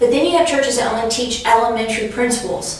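A woman speaks with strong room echo. Light background noise sits underneath. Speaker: class teacher. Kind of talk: lecture. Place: classroom. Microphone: camera far.

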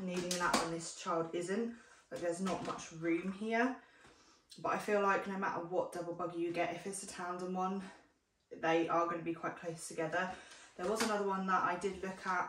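A woman with a British accent speaks at a fairly quick pace in a monotone, flat intonation, with noticeable background noise. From UK. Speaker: parenting vlogger. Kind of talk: casual vlog review. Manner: chatty, friendly. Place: home room. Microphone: camera far.

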